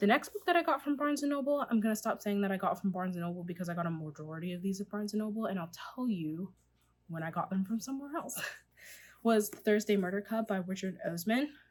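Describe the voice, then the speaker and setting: A woman talks at a very fast pace. Her pitch sits at a medium level, and her intonation is lively. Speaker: book vlogger. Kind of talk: casual chat.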